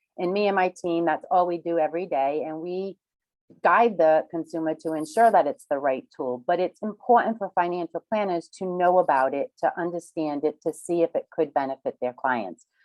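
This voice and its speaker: A woman with a Rhode Island accent speaks at a moderate pace and fairly low pitch, with ordinary pitch variation. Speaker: reverse mortgage specialist. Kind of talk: webinar presentation.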